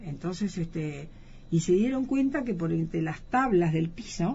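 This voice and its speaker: A woman speaks with a fairly low pitch and lively intonation. Her somewhat breathy voice keeps a moderate pace. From Argentina. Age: 60s. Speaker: eyewitness interviewee. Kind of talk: interview testimony. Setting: radio studio.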